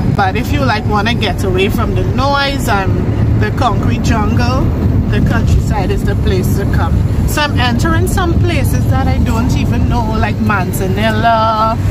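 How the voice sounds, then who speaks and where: Loud background noise surrounds a dry sound that carries no echo. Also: woman, moderate pace. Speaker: vlogger. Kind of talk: casual vlog chat. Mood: relaxed, cheerful. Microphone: phone near.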